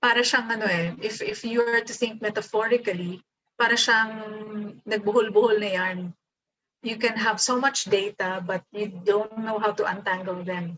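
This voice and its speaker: Speaking with a Filipino accent, a woman keeps a moderate pace. Her fairly high voice has fairly even intonation. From Philippines. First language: Tagalog. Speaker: professor. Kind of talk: lecture. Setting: video call.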